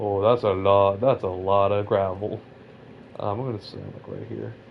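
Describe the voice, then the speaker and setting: At a moderate pace, a man with an American accent speaks at a fairly low pitch with fairly even intonation and big swings in loudness. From Southern California. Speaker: gaming streamer. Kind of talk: casual chat. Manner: halting.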